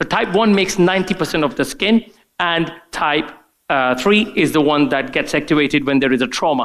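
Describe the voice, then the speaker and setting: Using lively intonation, a man speaks at a fairly high pitch. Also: fairly quick pace, very even loudness. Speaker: doctor giving a product training talk. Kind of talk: conference presentation. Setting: conference room with live audience. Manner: fast; hesitant, many fillers.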